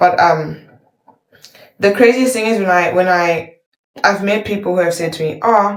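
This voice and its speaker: Long, frequent pauses break up a woman's speech, which has ordinary pitch variation and audible room echo. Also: medium pitch for a woman, moderate pace. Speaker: YouTube reactor. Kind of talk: casual chat. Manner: animated, rambling with fillers.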